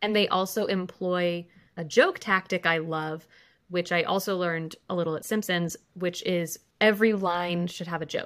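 An unremarkable speaking voice from a woman with an American accent, fairly low pitch and a moderate pace. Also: fairly even intonation. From California, San Fernando Valley. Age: 30s. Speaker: comedy writer. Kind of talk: casual chat.

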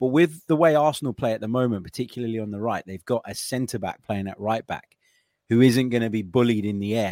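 A man with a British accent speaks at a very fast pace in a medium pitch. His tone is dark and mellow, with ordinary pitch variation. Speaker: podcast host. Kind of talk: casual sports betting discussion.

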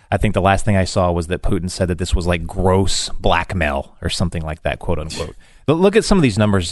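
A plain, everyday voice at a fairly quick pace over a quiet background. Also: man. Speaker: head writer and researcher, former military intelligence. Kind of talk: radio interview.

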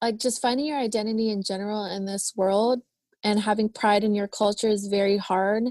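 This woman's fairly high voice moves at a moderate pace with fairly even intonation. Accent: American. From Philippines, raised in California Bay Area. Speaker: crystal shop owner and entrepreneur. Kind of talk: casual interview conversation.

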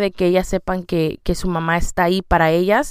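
Spoken at a moderate pace with fairly even intonation, the clip is a very clean recording with a silent background. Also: woman. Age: 30s. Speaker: podcast host, mother. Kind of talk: personal monologue.

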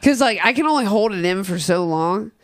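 In a plain, everyday voice with an American accent, the speaker moves at a fairly quick pace with lively intonation. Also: woman. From Cincinnati, Ohio (Price Hill). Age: 30s. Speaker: comedian and rapper. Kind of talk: casual chat.

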